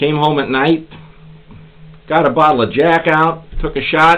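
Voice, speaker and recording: With music in the background, a man with an American accent speaks at a fairly slow pace and a fairly high pitch. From Pennsylvania, US. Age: 60s. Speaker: YouTuber, pipe smoker, military veteran. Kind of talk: casual vlog monologue, rant. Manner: animated.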